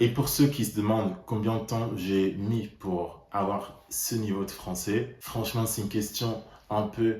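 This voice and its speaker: Speaking at a fairly slow pace with ordinary pitch variation, a man with a fairly low pitch is heard in audible room echo. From Netherlands. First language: Dutch (speaking French). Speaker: language learner vlogger. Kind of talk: personal vlog monologue.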